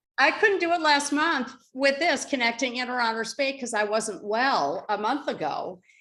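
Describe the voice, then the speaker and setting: Raising and projecting her high-pitched voice, a woman speaks at a moderate pace with hardly any pauses, lively intonation and a bright, sharp tone. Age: 70s. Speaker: children's book author, call participant. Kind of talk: casual group chat. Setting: video call.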